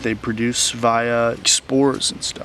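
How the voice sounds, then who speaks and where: A man talks over noticeable background noise. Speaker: nature vlogger. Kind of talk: casual outdoor vlog narration. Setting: outdoors in woods.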